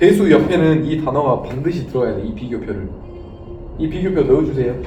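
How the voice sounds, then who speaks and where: A man talks with lively intonation. The recording has audible room echo and noticeable background noise. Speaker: exam prep lecturer. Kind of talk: lecture. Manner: fast.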